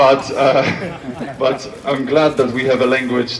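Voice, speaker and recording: Over noticeable background noise, a man with a Polish accent speaks at a fairly slow pace. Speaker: speaker at commemoration. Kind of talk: public speech.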